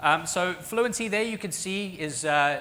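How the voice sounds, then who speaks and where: A man speaks with an American accent and lively intonation. Audible room echo surrounds his voice. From Australia and South Africa. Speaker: professor. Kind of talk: conference talk.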